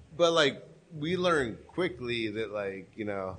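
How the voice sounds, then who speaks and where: With audible room echo around him, a man of medium pitch speaks with lively intonation. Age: 50s. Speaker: podcaster and artist. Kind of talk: casual chat. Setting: live event in a warehouse.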